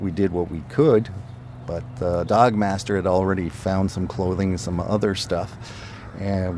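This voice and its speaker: At a moderate pace and a very deep, low pitch, a man speaks with ordinary pitch variation over noticeable background noise. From Ottawa, French-Canadian upbringing. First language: French. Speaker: retired police officer. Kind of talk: interview.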